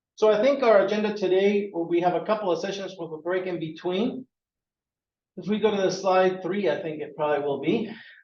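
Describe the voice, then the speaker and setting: In a room with audible echo, a man with a high voice talks at a moderate pace, with ordinary pitch variation and long, frequent pauses. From Peru. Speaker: workforce board executive director. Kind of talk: presentation. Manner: energetic.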